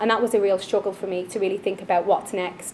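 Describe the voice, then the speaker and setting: A woman with an Irish accent speaks at a medium pitch. Her intonation is monotone and flat, over noticeable background noise. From Ireland, Dublin. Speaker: finance manager. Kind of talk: personal story talk. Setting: stage at networking event.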